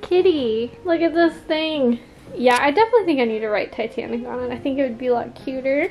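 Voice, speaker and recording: A woman's high-pitched, fairly quick speech over faint background music. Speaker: craft vlogger. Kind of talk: casual vlog chat. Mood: excited, cheerful. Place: home room. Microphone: camera far.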